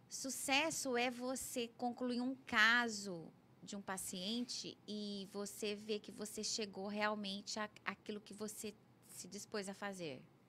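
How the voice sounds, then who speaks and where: The speaker talks at a very slow pace with ordinary pitch variation. Loudness swings widely from moment to moment. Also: woman, fairly high pitch for a woman. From Brazil, Goiás (Anápolis). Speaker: orthodontist and professor. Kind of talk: interview.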